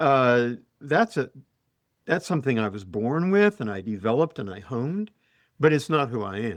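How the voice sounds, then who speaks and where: A man with a Utah accent speaks at a medium pitch and a moderate pace, with very wide pitch swings and long, frequent pauses. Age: old. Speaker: professor. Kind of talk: casual chat. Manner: halting.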